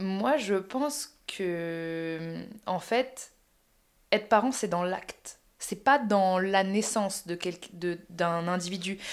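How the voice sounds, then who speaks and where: A woman speaks at a very slow pace and a medium pitch. Her pitch varies in an ordinary way. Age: 30s. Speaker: podcast host. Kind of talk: casual chat. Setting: sharing one mic with her mother.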